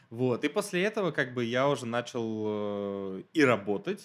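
A man talks with very wide pitch swings. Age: 20s. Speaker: graduate student and former civil servant. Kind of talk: casual interview.

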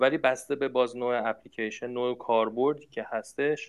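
This man speaks at a medium pitch. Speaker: university researcher in smart machines. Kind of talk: interview. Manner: halting with fillers.

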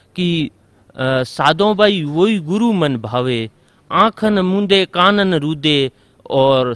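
Bright, sharp tone from a man with a fairly high pitch and very wide pitch swings. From Rajasthan, India. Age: 20s. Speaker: coaching centre owner, devotee. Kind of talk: testimony.

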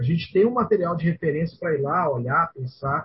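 A man's plain, everyday voice with a fairly high pitch, lively intonation and a fairly quick pace. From Goiânia, Brazil. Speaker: podcast co-host. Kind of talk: casual chat.

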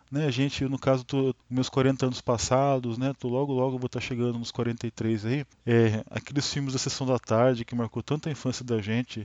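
Speaking at a fairly quick pace, the man keeps a flat, monotone intonation. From Brazil, Taubaté, São Paulo state. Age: 40s. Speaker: podcast host, film enthusiast. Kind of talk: casual monologue. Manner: spontaneous, hesitant with many fillers.

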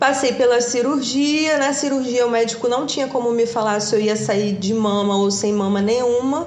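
Ordinary pitch variation and very even loudness, with noticeable background noise and audible room echo. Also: woman, high pitch for a woman, moderate pace, hardly any pauses. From Brazil, Rio de Janeiro state (Valença). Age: 40s. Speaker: physiotherapist, cancer survivor. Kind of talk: interview, personal testimony.

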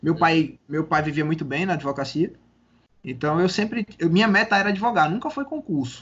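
A man with a high pitch and lively intonation, at a moderate pace. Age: 30s. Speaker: civil police investigator. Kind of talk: casual interview. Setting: remote call.

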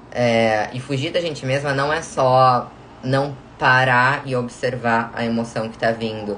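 Amid noticeable background noise and audible room echo, a woman with a very deep, low pitch talks at a fairly slow pace in a monotone, flat intonation. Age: 20s. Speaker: podcast host and self-knowledge coach. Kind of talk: recorded live stream talk.

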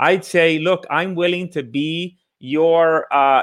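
With an ordinary speaking voice, a man talks at a fairly high pitch and with fairly even intonation. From Puerto Rico, then Bridgeport, Connecticut. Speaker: real estate investor and coach. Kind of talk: interview on live podcast.

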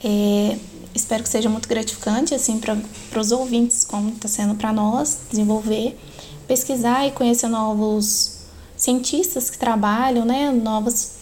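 Over noticeable background noise, a woman with a fairly high voice speaks at a fairly slow pace and with fairly even intonation. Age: 20s. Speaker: biology student and lab technician, podcast co-host. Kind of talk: podcast interview.

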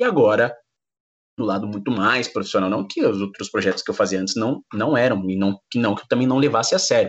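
Fairly quick, medium-pitched speech from a man, with ordinary pitch variation. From São Paulo, east zone. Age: 20s. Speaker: sports commentator. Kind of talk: interview. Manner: fast.

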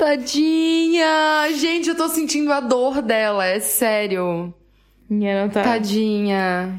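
A woman with a Brazilian accent speaks very slowly at a high pitch, her voice making very wide pitch swings amid audible room echo. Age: 20s. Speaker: podcast co-host. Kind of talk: casual chat.

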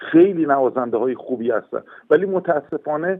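The man's fairly high voice carries lively intonation at a moderate pace. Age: 60s. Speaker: horn player and orchestra conductor. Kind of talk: interview. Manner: halting.

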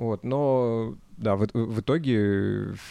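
This man has a medium pitch, a dark, mellow tone and ordinary pitch variation. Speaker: band singer. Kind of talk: interview. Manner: halting.

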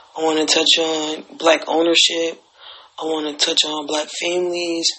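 A man speaks at a fairly high pitch and a fairly slow pace. There is noticeable background noise. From Alabama, US South. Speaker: podcast host. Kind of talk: casual monologue. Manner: hesitant, many fillers.

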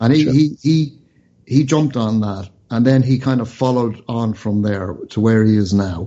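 With an Irish accent, a man speaks at a moderate pace. His pitch is medium, with ordinary pitch variation. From Ireland. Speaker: radio show host. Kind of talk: news discussion.

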